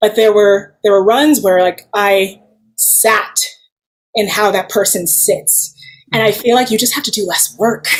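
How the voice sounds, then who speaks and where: In an American accent, a woman talks at a fairly high pitch with ordinary pitch variation. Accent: New Jersey accent sometimes shows. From US Northeast, New Jersey. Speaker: stage actor. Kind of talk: video call panel interview.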